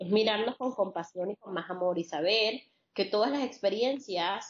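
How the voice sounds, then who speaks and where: At a fairly slow pace, a woman speaks in a calm tone, her medium pitch varying in an ordinary way. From Colombia, Caribbean coast (Barranquilla). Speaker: holistic psychologist. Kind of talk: interview.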